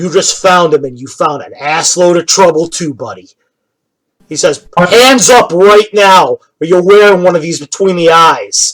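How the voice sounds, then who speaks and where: A man performs a put-on character voice at a high pitch. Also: moderate pace. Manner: menacing.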